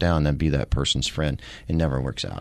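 With a quiet background, a man talks with an American accent. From Missouri Ozarks. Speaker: retired police sergeant and comedian. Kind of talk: casual interview.

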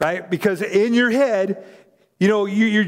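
The background is quiet. It is an unforced reading voice.

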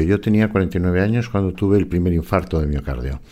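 A man's very deep, low voice carries ordinary pitch variation at a moderate speed. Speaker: forensic psychologist and author. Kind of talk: interview.

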